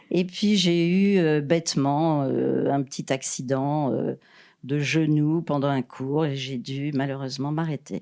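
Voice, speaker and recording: A woman with a very deep, low pitch and a dark, mellow tone speaks very slowly on a very clean recording with a silent background. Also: ordinary pitch variation. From Paris, France. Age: 70s. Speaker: retired TV production worker, mother of the host. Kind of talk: casual interview. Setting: family holiday house with children. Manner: hesitant, many fillers.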